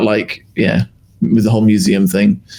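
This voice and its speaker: Speaking very fast, this man has a British accent. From UK. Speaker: podcast co-host. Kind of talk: casual chat.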